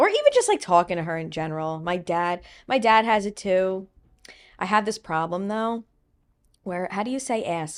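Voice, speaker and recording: A woman with a strong Long Island accent talks at a moderate pace, her medium pitch showing ordinary variation. She leaves long, frequent pauses, and the recording is very clean with a silent background. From US Northeast, Long Island, New York. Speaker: social media personality, podcast host. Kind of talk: casual interview chat. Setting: podcast recording in New York City.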